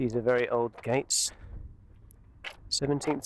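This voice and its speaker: A man speaks quietly. His intonation stays fairly even. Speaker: vlogger. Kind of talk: walking tour commentary. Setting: outdoors. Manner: casual.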